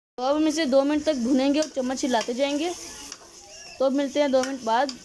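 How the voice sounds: A woman's high-pitched voice, dark and mellow in tone, with fairly even intonation. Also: fairly quick pace.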